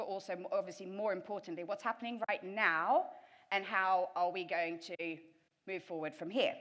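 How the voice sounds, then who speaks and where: Speaking fairly quickly, this woman has a British accent. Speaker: event tech professional. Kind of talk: conference presentation.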